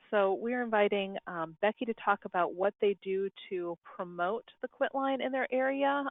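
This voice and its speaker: A woman talks at a moderate pace in a medium pitch. Her pitch variation is ordinary. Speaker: state public health program coordinator. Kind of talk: conference call moderation. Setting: conference call. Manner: soft-spoken.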